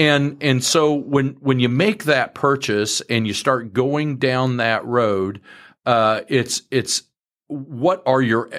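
Very slowly, a man with a medium-pitched voice speaks with ordinary pitch variation on a very clean recording with a silent background. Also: very even loudness. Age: 50s. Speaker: farmland broker and farm manager. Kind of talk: interview.

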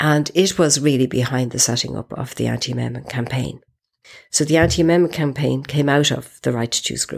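A woman with an Irish accent, very deep and low in pitch, speaking very fast with vocal fry, on a very clean recording with a silent background. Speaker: feminist activist. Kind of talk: interview testimony.

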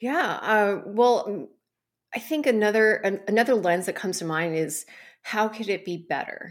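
A woman with an American accent speaks in a plain, everyday voice, medium in pitch with lively intonation, at a moderate pace. The recording is very clean, with a silent background. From US, Taiwanese American family. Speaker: startup founder and coach. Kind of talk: interview conversation.

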